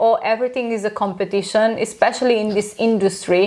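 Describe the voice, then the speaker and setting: A woman with a Romanian accent speaks at a moderate pace and a fairly high pitch with ordinary pitch variation over noticeable background noise. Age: 30s. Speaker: aesthetic doctor, clinic founder. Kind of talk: podcast interview.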